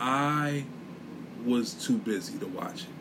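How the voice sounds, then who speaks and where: A man with an American accent, audible room echo around his voice. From US Northeast, inner city. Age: 40s. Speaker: podcast host. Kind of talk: solo monologue podcast, casual commentary. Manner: animated.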